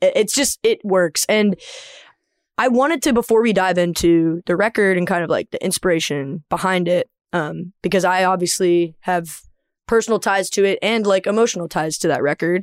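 A woman with a normal speaking voice and an American accent talks at a medium pitch and a moderate pace, with ordinary pitch variation. The recording is very clean, with a silent background and a dry, close sound with no echo. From US South. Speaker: podcast host and singer. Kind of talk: scripted outro; casual interview chat.

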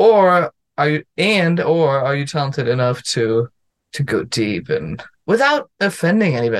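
In a German accent, a man speaks with lively intonation at a fairly high pitch, the sound dry and close with no echo. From Germany. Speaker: comedian and lawyer. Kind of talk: casual chat.

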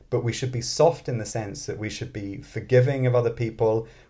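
A somewhat breathy man's voice at a medium pitch and moderate pace. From born in London, grew up in Scotland. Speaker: mathematics professor and author. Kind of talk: interview conversation.

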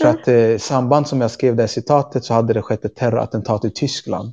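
A man's medium-pitched voice, fairly quick, with fairly even intonation. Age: 30s. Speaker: activist and teacher. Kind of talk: interview conversation. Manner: halting.

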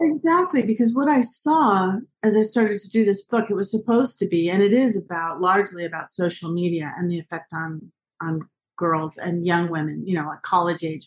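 At a fairly quick pace, a woman with medium pitch speaks with lively intonation and a somewhat breathy sound. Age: 50s. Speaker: journalist and author. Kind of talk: interview.

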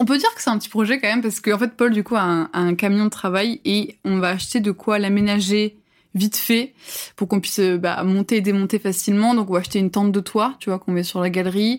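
A woman talks at a very fast pace with fairly even intonation and a medium pitch. The recording is very clean, with a silent background. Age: 20s. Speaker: work-study student in video production. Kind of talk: casual interview chat. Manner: hesitant, many fillers.

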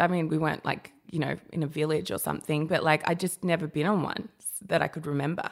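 At a very fast pace, a woman with a fairly low pitch speaks with an Australian accent. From Australia (Sydney's Sutherland Shire), childhood in New Guinea. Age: 30s. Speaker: journalist and curve model. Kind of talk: casual chat. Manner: animated.

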